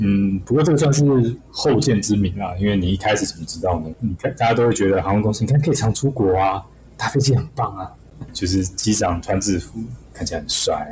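A man with a fairly low pitch and a dark, mellow, somewhat breathy tone speaks quickly-ish, at a fairly quick pace, with lively intonation. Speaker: aviation graduate and pilot, part-time instructor. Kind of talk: casual interview chat.

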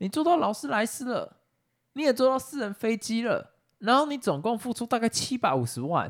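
A man speaks with a Taiwanese accent and an extremely high pitch, at a moderate pace. His intonation is lively, on a very clean recording with a silent background. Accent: Taiwanese Mandarin. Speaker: podcast co-host. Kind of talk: casual chat.

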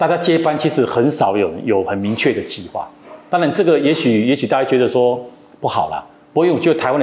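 Talking at a very fast pace, a man speaks with a medium pitch. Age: 50s. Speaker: company executive. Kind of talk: interview.

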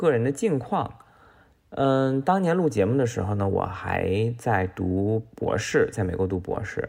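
Very slowly, a man talks with lively intonation. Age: middle-aged. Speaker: economist. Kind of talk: recorded voice submission.

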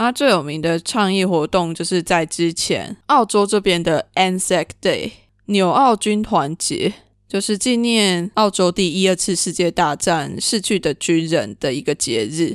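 A woman's voice, a plain, everyday voice, at a fairly slow pace with lively intonation, in a very clean recording with a silent background and a dry, close sound with no echo. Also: medium pitch for a woman. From Taiwan. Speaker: podcast host. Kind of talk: solo podcast monologue.

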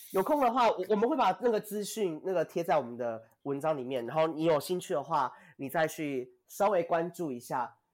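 A man with an animated tone at a high pitch and fairly quick pace, on a very clean recording with a silent background. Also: lively intonation. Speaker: podcast co-host. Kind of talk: interview. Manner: animated, laughing often.

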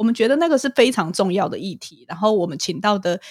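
Very clean recording and silent background behind a woman speaking. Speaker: clinical psychologist and podcaster. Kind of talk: casual interview chat.

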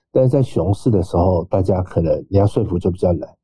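This man's voice is somewhat breathy and fairly low in pitch. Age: 40s. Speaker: startup investor and exchange adviser. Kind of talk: podcast interview.

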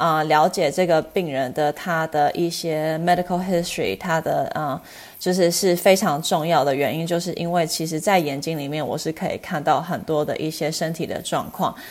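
A woman's fairly low voice at a moderate pace, fairly even in intonation, with hardly any pauses. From US West Coast, Los Angeles. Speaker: eye doctor. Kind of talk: interview. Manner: halting, many fillers.

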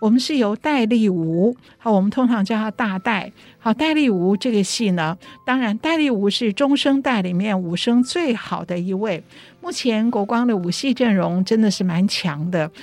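Intonation is lively and the pace is moderate. Noticeable background noise is present. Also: woman, fairly high pitch for a woman. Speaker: radio co-host and opera playwright. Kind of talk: casual radio chat.

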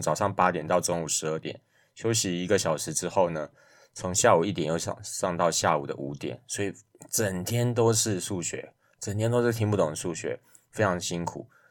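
A man speaks with a very deep, low voice and ordinary pitch variation. The recording is very clean, with a silent background. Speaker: math podcast host. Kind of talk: solo podcast monologue. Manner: casual with frequent fillers.

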